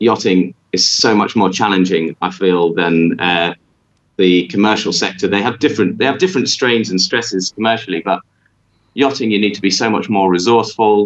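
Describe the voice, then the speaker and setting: Using an unremarkable speaking voice, a man talks at a moderate pace and a fairly low pitch with ordinary pitch variation. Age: 30s. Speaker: yacht captain. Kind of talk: interview. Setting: remote call.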